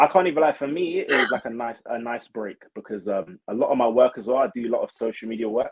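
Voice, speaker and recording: With hardly any pauses, a man in a London accent rattles along at a very fast pace. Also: medium pitch for a man, ordinary pitch variation. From London, England. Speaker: reality show contestant, social media creator. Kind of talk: casual interview chat.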